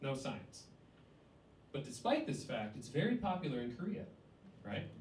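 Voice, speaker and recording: A man with a southern Ontario accent speaks at a moderate pace in a fairly high voice, his pitch swinging very widely, his tone somewhat breathy, with audible echo from the room. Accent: sounds Canadian, like southern Ontario. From US Midwest, Cleveland, Ohio. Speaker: stand-up comedian. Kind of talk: stand-up. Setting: stage with audience.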